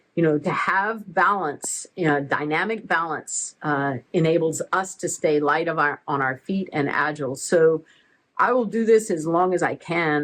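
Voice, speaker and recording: A woman with an American accent speaks in a fairly low pitch with ordinary variation. Her pace is moderate, and the background is quiet. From Oregon, US. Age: 60s. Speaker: athlete and part-time expat. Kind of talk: casual interview.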